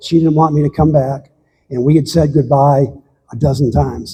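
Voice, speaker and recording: Somewhat breathy, the man talks at a fairly high pitch. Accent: American. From United States. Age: 70s. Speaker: long-distance hiker. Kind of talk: slide talk to local audience. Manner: halting.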